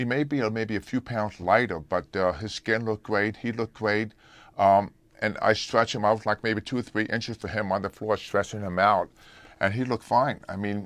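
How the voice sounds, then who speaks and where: A man with an ordinary speaking voice, fairly low pitch and fairly even intonation at a moderate pace, in a dry sound with no echo. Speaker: remote interview guest, fitness trainer. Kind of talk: interview answer. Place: studio.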